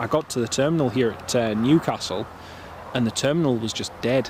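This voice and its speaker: A man talks very quickly, his pitch rising and falling in an ordinary way, with noticeable noise in the background. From northern England, Northumberland (Alnwick). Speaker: planespotting live streamer. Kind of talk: live stream commentary, casual chat.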